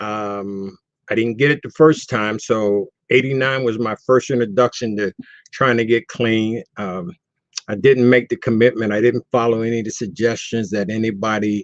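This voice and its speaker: An ordinary speaking voice with an American accent moves at a moderate pace with fairly even intonation. The sound is dry and close, with no echo. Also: man, medium pitch for a man. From US East Coast (Baltimore). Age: 60s. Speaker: person in long-term recovery. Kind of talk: testimony.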